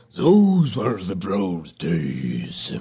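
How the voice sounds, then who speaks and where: In a put-on character voice, a man booms out. His pitch is very deep and low. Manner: slow, ponderous.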